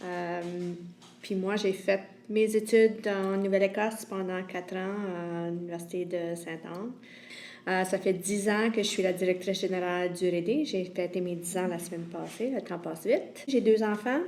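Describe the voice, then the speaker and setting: A woman speaks with an Acadian accent and fairly even intonation. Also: medium pitch for a woman, moderate pace. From Évangéline region, Prince Edward Island. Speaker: community organization director. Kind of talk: personal introduction.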